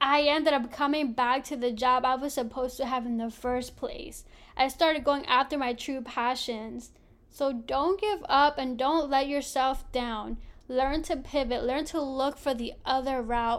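A woman with an American accent, animated in tone, high-pitched, with ordinary pitch variation and a fairly slow pace. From Philadelphia, US. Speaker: podcast host, Navy veteran. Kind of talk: casual monologue. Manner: animated, frequent laughter.

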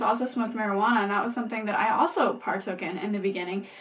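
Amid noticeable background noise and audible room echo, a woman speaks at a very fast pace in an animated tone and a fairly high pitch. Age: 20s. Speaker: podcast host sharing personal recovery story. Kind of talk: personal monologue.

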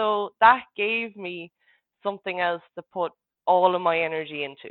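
This woman has an ordinary speaking voice. It sits fairly low in pitch with ordinary pitch variation. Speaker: fitness coaching client. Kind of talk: casual interview. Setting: video call.

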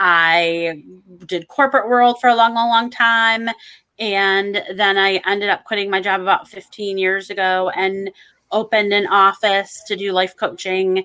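A woman with an ordinary speaking voice, medium pitch, fairly even intonation and a fairly slow pace. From Michigan. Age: 50s. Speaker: psychic medium. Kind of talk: casual chat.

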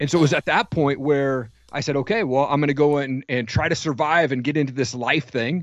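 With an unremarkable speaking voice and an American accent, a man talks at a fairly quick pace and fairly high pitch, with hardly any pauses, in a dry, close sound with no echo. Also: ordinary pitch variation. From US Pacific Northwest (Washington State). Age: 40s. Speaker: podcast host and coach. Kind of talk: interview testimony.

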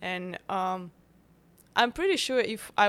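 Recorded very cleanly against a silent background, a woman speaks at a medium pitch in a Ukrainian accent. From Ukraine. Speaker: bakery founder guest. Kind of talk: casual interview chat.

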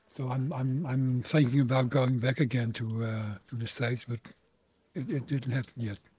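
This man talks in a Dutch accent at medium pitch and a moderate pace. His intonation is fairly even and his voice somewhat breathy. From Netherlands. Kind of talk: street interview. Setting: outdoors. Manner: halting.

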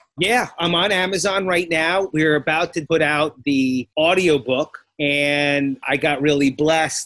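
A man speaks slowly, at a fairly slow pace, with a fairly high pitch. It is a normal speaking voice. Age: 40s. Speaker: author and recovering addict turned coach. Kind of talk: interview.

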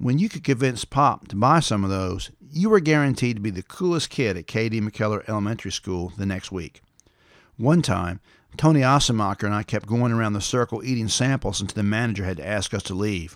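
Speaking fairly quickly with a Tennessee accent and lively intonation, a man is heard on a very clean recording with a silent background. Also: fairly low pitch for a man. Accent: Southern US (Tennessee). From West Tennessee, US South. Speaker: podcast host and storyteller. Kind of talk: nostalgic storytelling monologue. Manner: casual, folksy.

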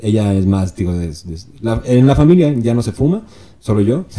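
A man's dark, mellow tone at a moderate pace. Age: 30s. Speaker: rapper and content creator. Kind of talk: casual chat.

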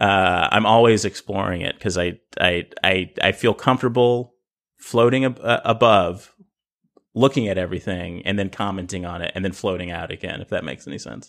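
A man speaks at a moderate pace in a fairly low pitch with ordinary pitch variation. His is a plain, everyday voice, with big swings in loudness. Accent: American. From Los Angeles, South Central. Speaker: comedian and TV writer. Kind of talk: casual chat.

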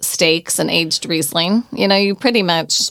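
A woman with an American accent speaks with vocal fry. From Oregon, US. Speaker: winery owner. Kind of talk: casual chat.

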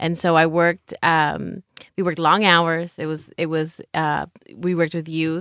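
Fairly low female speech in a very clean recording against a silent background. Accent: Californian. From Los Angeles, San Fernando Valley. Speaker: abolitionist thinker. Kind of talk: casual chat. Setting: studio. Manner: halting, many fillers.

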